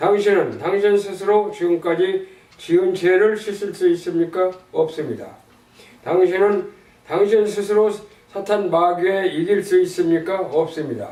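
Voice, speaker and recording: With noticeable background noise behind him, a man talks at a fairly slow pace. His pitch is high and his intonation fairly even. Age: 80s+. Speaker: church member reading gospel tract. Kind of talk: religious text reading with prayer. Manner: slow, careful reading.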